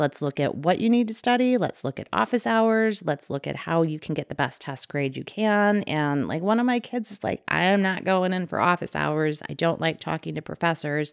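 In a normal speaking voice, the speaker moves at a moderate pace with lively intonation and hardly any pauses, captured as a dry, close sound with no echo on a very clean recording with a silent background. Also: woman, fairly low pitch for a woman. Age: 40s. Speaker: former teacher. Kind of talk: casual chat.

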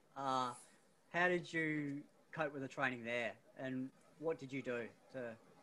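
A man with an Australian accent and fairly high pitch speaks at a moderate pace with fairly even intonation and long, frequent pauses. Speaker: running coach and podcast host. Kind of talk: casual interview; scripted intro.

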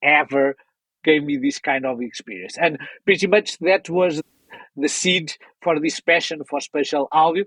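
A man speaks with a Portuguese accent at a fairly high pitch and moderate pace. The sound is dry and close with no echo. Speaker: audio software company founder. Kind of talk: interview.

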